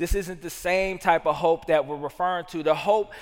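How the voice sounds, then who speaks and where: With a Southern US accent, a man talks in a high-pitched voice. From US South. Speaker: pastor. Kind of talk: sermon.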